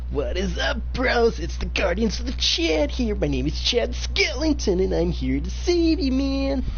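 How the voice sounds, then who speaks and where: A man speaks at a moderate pace in a put-on character voice. Background noise is clearly audible. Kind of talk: casual, bro slang.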